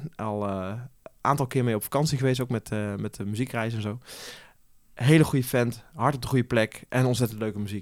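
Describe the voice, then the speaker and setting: On a very clean recording with a silent background, a medium-pitched man talks at a fairly quick pace with long, frequent pauses and fairly even intonation. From eastern Netherlands (Achterhoek / Zutphen area). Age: 30s. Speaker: event organizer. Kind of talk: interview. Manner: hesitant, many filler sounds.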